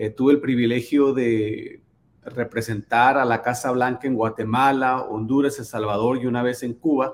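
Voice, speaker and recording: A man at a medium pitch with monotone, flat intonation and a moderate pace. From Sonora, Mexico. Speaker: charity foundation founder. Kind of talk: casual interview. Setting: home office.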